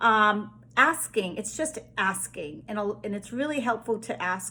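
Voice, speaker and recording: A woman speaks with a Boston accent. Her pitch sits in the medium range. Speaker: spiritual healer. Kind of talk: casual spiritual monologue. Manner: hesitant with fillers.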